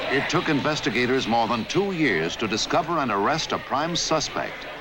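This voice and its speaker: Over noticeable background noise, a fairly high-pitched man talks at a moderate pace with lively intonation and very even loudness. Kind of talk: documentary narration.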